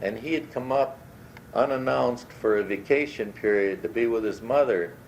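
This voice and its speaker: Over noticeable background noise, a man with an American accent speaks at a medium pitch with ordinary pitch variation. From Michigan, Upper Peninsula. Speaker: family memoir storyteller. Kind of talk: recorded personal reminiscence. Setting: home cassette recording. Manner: slow, hesitant with fillers.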